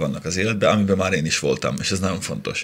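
A man with a fairly low pitch and ordinary pitch variation speaks over noticeable background noise. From Upper Hungary (Slovakia, Hungarian minority). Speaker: motoring journalist and TV presenter. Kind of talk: casual chat.

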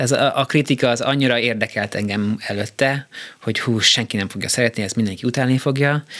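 A man at a very fast pace with fairly even intonation. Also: medium pitch for a man. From Austria (Vienna) and US. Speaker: conductor and composer. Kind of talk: casual interview. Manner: halting.

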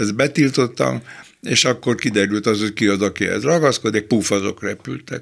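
With vocal fry and a fairly low pitch, a man speaks at a moderate pace using lively intonation. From Budapest, Hungary. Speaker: philosopher and critic. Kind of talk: interview.

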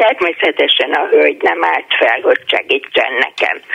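A woman talks while noticeable background noise carries on. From Budapest. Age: 70s. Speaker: retired teacher. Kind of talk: casual chat. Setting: phone call.

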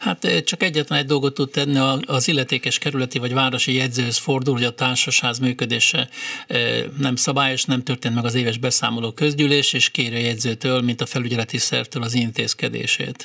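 A man talks at a fairly quick pace, his medium pitch held in fairly even intonation. Noticeable background noise runs underneath. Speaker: condominium managers' association president. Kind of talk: radio call-in Q&A. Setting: studio.

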